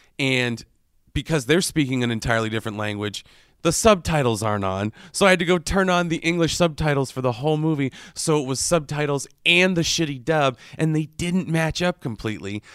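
In a normal speaking voice, the speaker moves at a fairly quick pace with lively intonation on a very clean recording with a silent background. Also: man, fairly high pitch for a man. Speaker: podcast host. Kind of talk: infomercial parody. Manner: upbeat, cheesy announcer voice.

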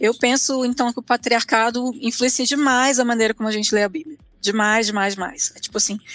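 A woman's ordinary speaking voice, fairly high-pitched with ordinary pitch variation, in a dry, close sound with no echo. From Brasília, Brazil. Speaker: theologian. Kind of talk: interview.

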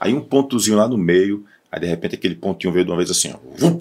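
With lively intonation, a man talks in a normal speaking voice at a fairly low pitch. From Ceará, Cariri region (Barbalha). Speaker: radio sports journalist. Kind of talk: casual chat.

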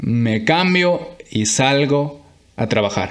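A man speaks with lively intonation. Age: 20s. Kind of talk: devotional monologue. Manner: halting.

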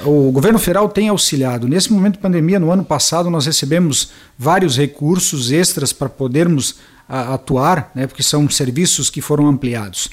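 A man speaks at a moderate pace with a fairly high pitch and ordinary pitch variation. It is a normal speaking voice. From western Santa Catarina, Brazil. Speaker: municipal health director and pharmacist. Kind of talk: interview.

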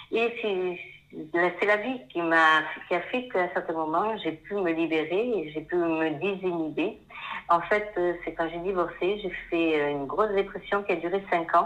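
Over noticeable background noise, a woman talks at a fairly slow pace in a fairly low pitch with ordinary pitch variation. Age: 50s. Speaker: painter, former pharmacist. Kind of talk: interview.

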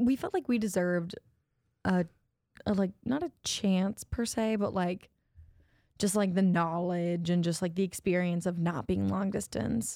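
With an American accent, a woman speaks at a fairly slow pace with long, frequent pauses, a dark, mellow tone and ordinary pitch variation, on a very clean recording with a silent background. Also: medium pitch for a woman. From Ohio, US Midwest. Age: 20s. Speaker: podcast co-host. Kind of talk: casual chat.

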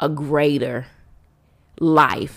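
A woman speaks in a very deep, low, raspy voice. The recording is very clean, with a silent background. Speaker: podcast host. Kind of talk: solo inspirational monologue.

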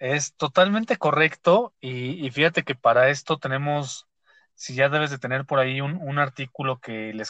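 Over a quiet background, a man with a fairly high pitch and ordinary pitch variation speaks in a bright, sharp tone, the sound dry and close with no echo. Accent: Mexico City. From Mexico City. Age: 30s. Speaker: podcast host. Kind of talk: casual chat. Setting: studio.

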